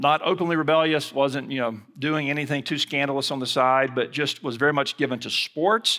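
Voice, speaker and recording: A man with an Alabama accent speaks at a fairly quick pace in a fairly high pitch. His tone is bright and sharp, and the recording is very clean with a silent background. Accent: Southern US (Alabama). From US South, Mobile, Alabama. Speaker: seminary president and preacher. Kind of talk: sermon. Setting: chapel service with audience.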